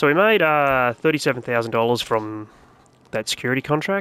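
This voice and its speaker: With an Australian accent and a relaxed tone, a man speaks at a moderate pace with ordinary pitch variation over noticeable background noise. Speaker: gaming YouTuber. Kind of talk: gameplay commentary tutorial. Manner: relaxed, casual; softly spoken at times.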